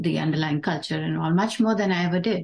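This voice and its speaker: A woman's voice is heard. It has a somewhat breathy quality. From Dubai, Indian family. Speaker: tech product developer. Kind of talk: casual chat. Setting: in-person group conversation.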